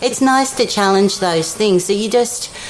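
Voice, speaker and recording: Over noticeable background noise, a woman with an Australian accent speaks at a moderate pace in a fairly high pitch with lively intonation. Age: 50s. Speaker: retreat participant. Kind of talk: interview.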